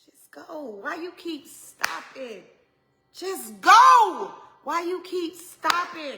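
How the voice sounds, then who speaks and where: A woman's raised, projected voice in an Atlanta accent, extremely high in pitch, with lively intonation, a very slow pace, big swings in loudness and audible room echo. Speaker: pastor's wife, women's ministry speaker. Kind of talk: motivational sermon. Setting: solo to camera, livestream. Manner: stumbles over words.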